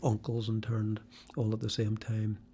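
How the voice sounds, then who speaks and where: The voice is somewhat breathy with a dark, mellow tone. It keeps a moderate pace. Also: man. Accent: Northern Irish. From Belfast, Northern Ireland, then Norwich, England. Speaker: former prisoner and author. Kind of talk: interview. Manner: halting.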